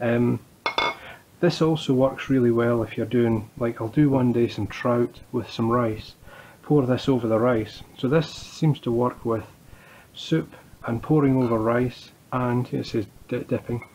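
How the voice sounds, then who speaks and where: A man talks in a Scottish accent. He keeps a fairly slow pace with fairly even intonation. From Scotland. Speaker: home cook. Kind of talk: cooking tutorial. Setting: home kitchen. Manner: casual, halting. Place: kitchen. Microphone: phone near.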